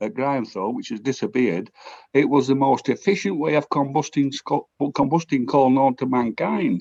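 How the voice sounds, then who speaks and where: A man speaks at a moderate pace with a South Yorkshire accent. His pitch sits fairly high and his intonation is lively. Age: 60s. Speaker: audience member asking a question. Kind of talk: audience question. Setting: video call.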